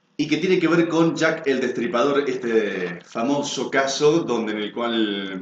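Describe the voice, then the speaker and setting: A man with a plain, everyday voice, medium in pitch, at a fairly slow pace with lively intonation. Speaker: announcer, video program host. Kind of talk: news-style narration of a mystery to camera.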